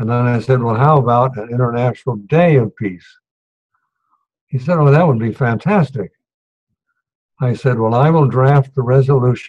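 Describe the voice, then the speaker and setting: Somewhat breathy, a man at medium pitch talks at a moderate pace with ordinary pitch variation and long, frequent pauses. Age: 90s. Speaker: retired diplomat. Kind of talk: storytelling speech.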